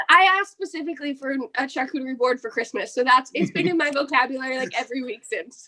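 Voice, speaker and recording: Raised and projected, this voice with an American accent has a bright, sharp tone, lively intonation and a very fast pace. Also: woman, high pitch for a woman, hardly any pauses. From New Jersey. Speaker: pro wrestler. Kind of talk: interview. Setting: home office, remote interview. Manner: casual, filler-heavy.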